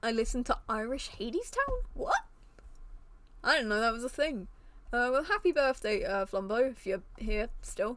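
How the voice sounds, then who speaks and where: Animated in tone, a woman speaks at a high pitch with very wide pitch swings. Her pace is moderate, and background noise is noticeable. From British. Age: 18. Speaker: streamer. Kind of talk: casual chat. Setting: live stream.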